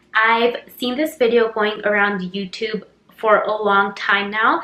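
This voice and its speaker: With an American accent, a woman speaks at a fairly high pitch over noticeable background noise. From Utah, US. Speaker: YouTuber. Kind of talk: casual vlog chat.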